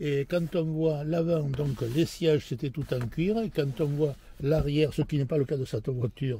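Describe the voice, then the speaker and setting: At a fairly slow pace, a man talks in a fairly high, somewhat breathy voice with a dark, mellow tone. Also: ordinary pitch variation. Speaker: classic car owner. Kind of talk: interview answer. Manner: passionate, energetic.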